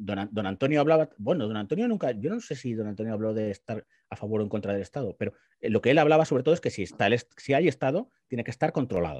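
Against a quiet background, a man talks at a very fast pace in a medium pitch with lively intonation. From Spain, Guadalajara; Spain. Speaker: political commentator. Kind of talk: panel discussion. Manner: halting, many repetitions. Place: home room. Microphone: video call.

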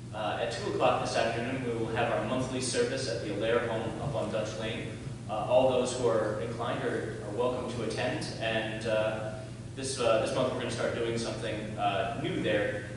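Strong room echo and noticeable background noise surround a man who speaks at a moderate pace in a monotone, flat intonation. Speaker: pastor at the pulpit. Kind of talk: church announcements. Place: church.

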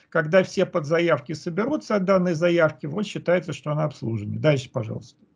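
A man's high voice at a moderate pace against a quiet background. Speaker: researcher; conference presenter. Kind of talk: conference presentation. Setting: video call. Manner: halting. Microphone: video call.

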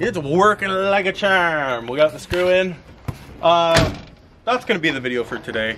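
Amid noticeable background noise, a man with a high pitch talks at a moderate pace. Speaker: van owner vlogger. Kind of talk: casual vlog chat. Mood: relaxed, joking. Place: open country. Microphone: camera far.

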